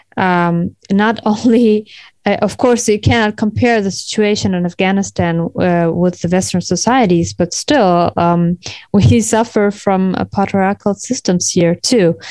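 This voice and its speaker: Speaking with a German accent, a woman uses a medium pitch. Her pace is fairly slow and her pitch variation ordinary. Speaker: podcast host. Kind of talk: interview; scripted intro.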